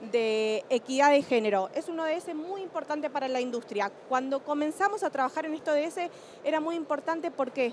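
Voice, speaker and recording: A woman's high-pitched voice comes through with noticeable background noise behind it. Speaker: energy industry sustainability panelist. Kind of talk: panel talk.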